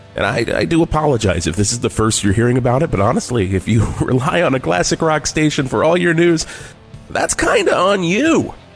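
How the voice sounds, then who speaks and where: A man's fairly high voice with very wide pitch swings, very even loudness, fairly quick pace, and music in the background. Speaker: radio host, comedian. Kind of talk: classic rock radio DJ break with comedic banter.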